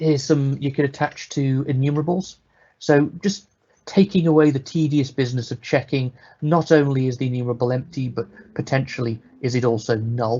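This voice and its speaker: A man with a British accent talks at a fairly quick pace in a fairly high pitch. His voice is somewhat breathy, with ordinary pitch variation. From Britain. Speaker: software developer, conference speaker. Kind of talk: technical presentation. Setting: live online webinar. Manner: casual, conversational.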